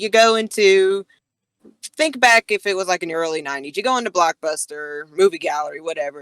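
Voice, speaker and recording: Medium-pitched female speech in a strong Southern US accent, fairly quick and lively in intonation, with a dry, close sound and no echo. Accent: strong Southern US country twang. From US South. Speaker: podcast co-host. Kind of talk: casual chat. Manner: animated.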